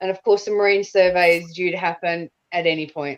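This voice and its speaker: A woman with a normal speaking voice talks in a fairly low register, her pitch moving in an ordinary way. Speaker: community campaigner, co-host. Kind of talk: podcast conversation.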